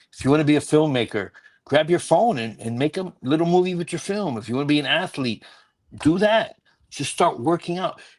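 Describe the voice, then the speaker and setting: A man's normal speaking voice, fairly high in pitch, with lively intonation, a fairly quick pace and a quiet background. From Puerto Rican from the Bronx, New York. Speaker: stand-up comedian. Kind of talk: podcast interview answer, motivational advice.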